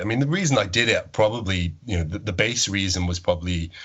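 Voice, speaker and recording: With a Welsh accent, a man speaks at a fairly low pitch with ordinary pitch variation over noticeable background noise. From Wales. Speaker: agnostic podcast producer. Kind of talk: podcast interview.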